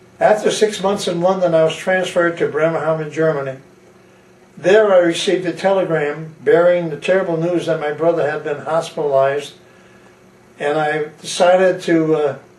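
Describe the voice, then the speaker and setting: A high-pitched man with an American accent at a moderate pace, fairly even intonation and audible room echo. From Connecticut, US. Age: 80s+. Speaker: war veteran. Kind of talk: testimony. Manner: halting.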